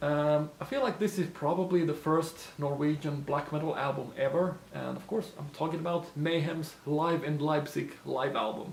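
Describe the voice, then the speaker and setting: This man has a fairly high pitch and a non-native accent, speaking at a moderate pace with hardly any pauses. His intonation is fairly even, and there is noticeable background noise. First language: not English. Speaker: lure maker and YouTuber. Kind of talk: casual Q&A talk to camera. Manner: hesitant, many fillers.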